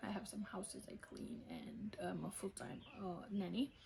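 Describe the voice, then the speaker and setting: A woman speaks at a medium pitch with vocal fry and a Romanian accent. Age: 20s. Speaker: vlogger. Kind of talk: casual Q&A vlog. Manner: hesitant.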